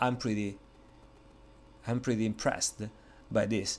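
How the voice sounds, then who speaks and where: A man with an Italian accent speaks at a moderate pace and medium pitch. The recording is very clean, with a silent background. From Italy. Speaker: software reviewer. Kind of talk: product review tutorial. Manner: hesitant, many fillers.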